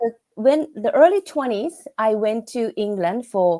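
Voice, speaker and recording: In a Japanese accent, a dark, mellow voice moves at a fairly slow pace with very wide pitch swings, recorded dry and close with no echo. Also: woman. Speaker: business English instructor. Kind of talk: casual chat. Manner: halting.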